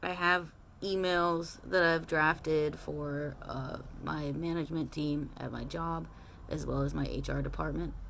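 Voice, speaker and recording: A woman's voice comes with audible room echo. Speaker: transition vlogger. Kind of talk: casual personal vlog. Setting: at home in small apartment. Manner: hesitant, many filler words.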